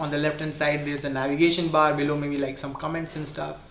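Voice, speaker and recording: A man's fairly high voice with a strong Indian accent, very fast and monotone with flat intonation, with noticeable background noise and audible room echo. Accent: heavy Indian. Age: 20s. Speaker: programming tutor / streamer. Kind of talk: live-stream coding tutorial. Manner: casual, hesitant with fillers.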